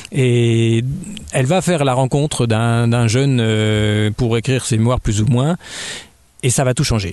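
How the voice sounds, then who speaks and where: Noticeable background noise sits behind a man speaking at a very slow pace with long, frequent pauses. His pitch is medium with ordinary variation, and his loudness stays very even. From Burgundy, France (Dijon). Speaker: novelist and children's author. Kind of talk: radio interview. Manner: hesitant, many fillers.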